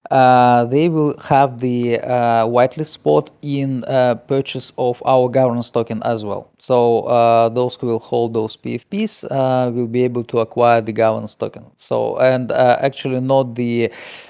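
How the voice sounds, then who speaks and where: Speaking at a fairly slow pace with a non-native accent, a man uses a medium pitch, fairly even intonation and a dark, mellow tone. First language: not English. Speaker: game project team member. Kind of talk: interview answers. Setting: live Discord stage. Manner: halting, many fillers.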